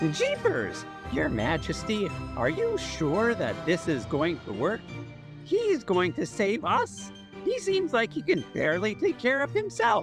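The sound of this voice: Clear music plays in the background as a put-on character voice speaks at a fairly slow pace.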